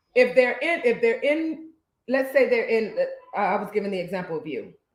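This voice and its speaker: Her voice high and her tone animated, a woman talks at a fairly quick pace with lively intonation and big swings in loudness. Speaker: podcast co-host, social worker. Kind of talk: casual chat. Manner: halting.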